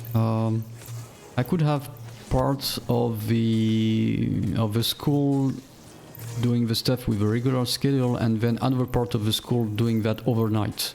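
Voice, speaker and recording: A man with a non-native accent speaks slowly enough to count as fairly slow, at medium pitch, with fairly even intonation and very even loudness. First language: not English. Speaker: game streamer. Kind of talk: gameplay commentary. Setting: live stream. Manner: halting, many fillers and repeats.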